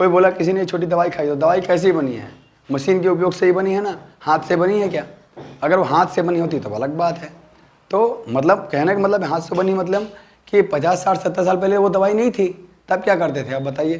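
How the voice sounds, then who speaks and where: Over noticeable background noise, a man speaks at a high pitch and a fairly quick pace with ordinary pitch variation. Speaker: naturopathy dietitian. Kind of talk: health talk to camera. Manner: halting.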